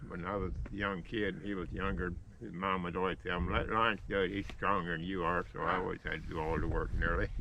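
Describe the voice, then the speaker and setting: A man talks at a fairly quick pace in a rural Texas accent, his pitch very deep and low. His intonation stays fairly even, and room echo is audible. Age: 80s+. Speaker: retired well driller. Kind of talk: casual chat. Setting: outdoors.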